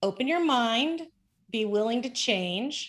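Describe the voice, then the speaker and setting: Recorded very cleanly against a silent background, a plain, everyday voice moves at a fairly slow pace. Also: woman. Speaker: business consultant. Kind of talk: interview.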